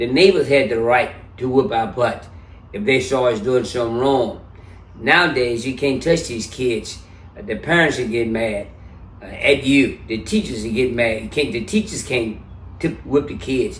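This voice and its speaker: Somewhat breathy, the voice moves at a moderate pace with ordinary pitch variation and audible room echo. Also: man, medium pitch for a man. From US South (Memphis, Tennessee). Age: 70s. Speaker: interview guest. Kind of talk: casual interview.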